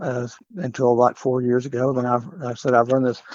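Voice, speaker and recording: Speaking at a moderate pace and medium pitch, a man talks with a West Texas accent. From Texas Panhandle (Canyon). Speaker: mayoral candidate. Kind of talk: interview. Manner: halting.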